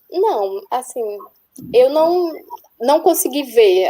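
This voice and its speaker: A woman speaks with a strong northeastern Brazilian accent. Her tone is dark and mellow. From Northeast Brazil. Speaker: nurse researcher abroad. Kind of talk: webinar panel talk. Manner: halting.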